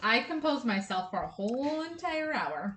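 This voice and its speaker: A woman's loud voice moves at a moderate pace, its pitch swinging very widely. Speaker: podcast co-host. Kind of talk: casual chat.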